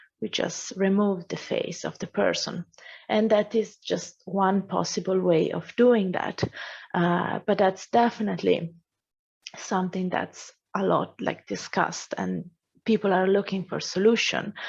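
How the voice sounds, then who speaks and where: With vocal fry and monotone, flat intonation, a woman of medium pitch speaks at a fairly slow pace against a quiet background. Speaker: AI course instructor. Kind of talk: Q&A answer; lecture.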